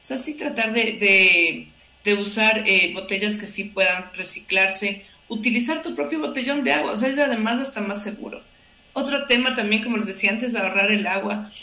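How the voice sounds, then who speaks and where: A fairly high-pitched woman at a moderate pace with ordinary pitch variation, audible room echo and noticeable background noise. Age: 40s. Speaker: NGO operations director. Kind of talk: casual interview chat.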